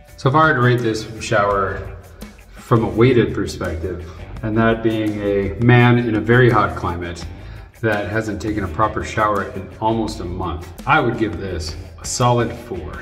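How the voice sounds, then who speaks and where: Faint music plays in the background as a man speaks at a moderate pace. His pitch is fairly low, with ordinary variation. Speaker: travel vlogger. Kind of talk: casual vlog chat. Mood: relieved, humorous. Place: bathroom. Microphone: phone near.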